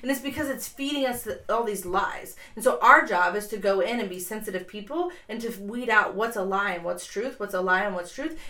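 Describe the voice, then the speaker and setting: A woman with an American accent talks at a fairly quick pace and fairly high pitch, her intonation lively. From Columbus, Ohio. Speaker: podcast guest, founder of a candle company. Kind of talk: casual, conversational. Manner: fast talker.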